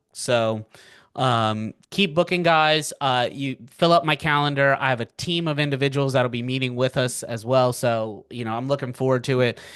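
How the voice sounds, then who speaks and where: A man's unremarkable speaking voice, medium in pitch with ordinary pitch variation, at a moderate pace over a quiet background. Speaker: financial markets educator. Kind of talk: live webinar presentation. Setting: webinar from home. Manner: casual, filler-heavy.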